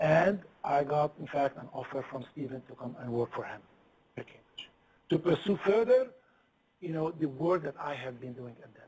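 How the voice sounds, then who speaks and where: A fairly high-pitched man with a non-native accent, somewhat breathy, with lively intonation. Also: moderate pace, big swings in loudness. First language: not English. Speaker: physicist. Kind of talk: lecture. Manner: halting.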